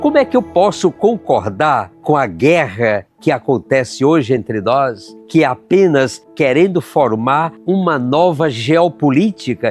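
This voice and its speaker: With music in the background, a man talks at a fairly slow pace with hardly any pauses, his pitch swinging very widely while his loudness stays very even. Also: fairly high pitch for a man. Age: 80s. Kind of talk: reflective podcast monologue with spoken prayer. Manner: warm, heartfelt, reflective.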